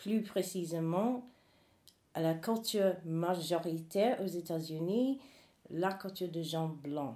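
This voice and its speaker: A woman with an English accent, medium in pitch, dark and mellow in tone, with ordinary pitch variation at a very slow pace. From US South, North Carolina. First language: English (speaking French). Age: 40s. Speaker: human rights activist. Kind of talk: interview testimony.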